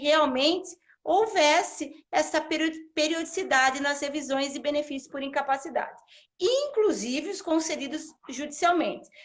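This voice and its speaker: Speaking with a São Paulo interior accent, a woman uses a high pitch and ordinary pitch variation. Her pace is fairly slow. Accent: Piracicaba interior accent with retroflex R. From Brazil, Piracicaba in São Paulo state. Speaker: social security law professor. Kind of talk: live interview, explaining law.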